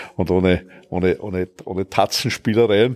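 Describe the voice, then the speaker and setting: The man's voice has a very deep, low pitch and fairly even intonation. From Austria, Vienna. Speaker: politician. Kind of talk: interview.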